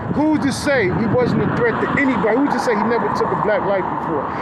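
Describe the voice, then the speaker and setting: With noticeable background noise and audible room echo, a man talks at a fairly quick pace in an extremely high pitch with ordinary pitch variation. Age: 50s. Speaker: bystander. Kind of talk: heated debate. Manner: animated.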